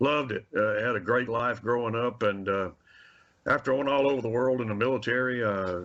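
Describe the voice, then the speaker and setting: With a Mississippi accent, a man speaks at a very fast pace in a medium-pitched voice. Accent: US Southern (Mississippi). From Mississippi, Carthage. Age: 60s. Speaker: wildlife agency handgun safety instructor. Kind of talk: radio interview.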